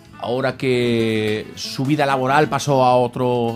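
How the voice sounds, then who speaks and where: Music plays in the background. A man is speaking. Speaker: radio presenter. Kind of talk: radio interview introduction. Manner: hesitant, many fillers.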